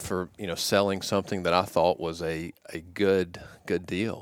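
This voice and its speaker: Over a silent background in a very clean recording, a man with a Southern US accent speaks at a fairly slow pace in a very deep, low pitch with monotone, flat intonation. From US South, Georgia. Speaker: former college quarterback and business executive. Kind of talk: casual interview. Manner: halting, many fillers.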